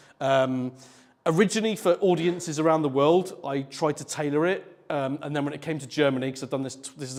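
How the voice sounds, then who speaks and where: A man with a British accent, fairly high-pitched, talking very fast with ordinary pitch variation, on a very clean recording with a silent background. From UK. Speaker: conference speaker, developer advocate. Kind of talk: technical talk to a live audience. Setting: stage with audience at a meetup. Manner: loud, brash; hesitant with many ums.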